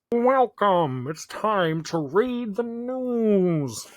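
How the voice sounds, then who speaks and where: In a put-on character voice, the speaker uses a fairly high pitch at a very slow pace. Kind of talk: formal, announcer-like.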